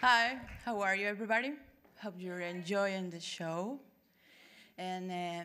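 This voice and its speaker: Fairly slow speech in a Spanish accent, ordinary pitch variation, long and frequent pauses, and audible room echo. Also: woman, medium pitch for a woman, big swings in loudness. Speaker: adult poet. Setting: stage with audience.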